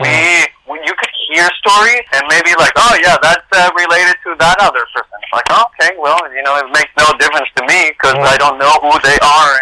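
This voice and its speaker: Over noticeable background noise, a man with a high voice speaks at a moderate pace with ordinary pitch variation and hardly any pauses. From Mexico, Monterrey. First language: Spanish. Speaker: actor. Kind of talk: interview.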